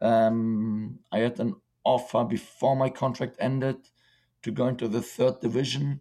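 A man with a German accent speaks at a medium pitch, with a dark, mellow tone and fairly even intonation. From Germany and Czech Republic. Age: 20s. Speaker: professional footballer. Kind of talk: casual interview.

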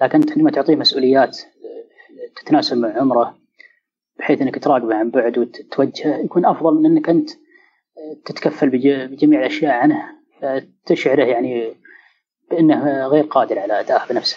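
Moderate pace broken up by long, frequent pauses. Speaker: guest sharing experience of social anxiety. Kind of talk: personal testimony in interview. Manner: hesitant, many fillers.

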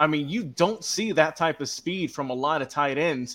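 On a very clean recording with a silent background, a man with an American accent speaks at a moderate pace, his fairly high voice bright and sharp, with ordinary pitch variation. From Georgia, US South. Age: young. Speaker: social media producer. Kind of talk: casual chat.

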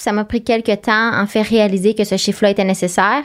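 Speaking at a fairly quick pace in a normal speaking voice, a woman keeps a medium pitch and fairly even intonation. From Quebec, Eastern Townships. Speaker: ultramarathon runner. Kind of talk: interview conversation.

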